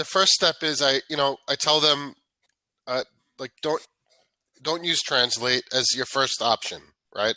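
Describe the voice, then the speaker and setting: On a very clean, dry, close recording with a silent background and no echo, a man with a New York accent speaks at a fairly slow pace and fairly high pitch in a bright, sharp tone, leaving long, frequent pauses. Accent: New York American English. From New York, US. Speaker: English tutor. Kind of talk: casual chat. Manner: energetic.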